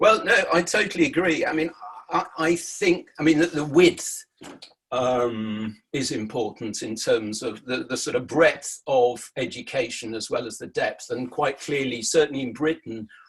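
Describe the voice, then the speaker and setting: A man with an English accent talks at a fairly high pitch and a moderate pace. His intonation is lively. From England. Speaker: journalist. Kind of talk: discussion.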